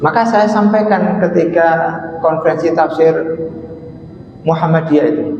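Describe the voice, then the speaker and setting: In an East Javanese accent, this voice moves at a moderate pace with long, frequent pauses and fairly even intonation, with audible room echo and noticeable background noise. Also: man, high pitch for a man. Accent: Lamongan Javanese. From East Java, Lamongan. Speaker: Islamic scholar, lecturer. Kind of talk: religious lecture. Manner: casual, conversational.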